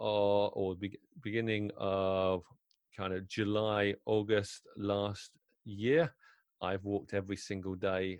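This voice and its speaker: Fairly low in pitch, a man with a British accent speaks at a fairly slow pace. The sound is dry and close with no echo, over a quiet background. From UK. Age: 50s. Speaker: wedding DJ. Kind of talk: interview conversation.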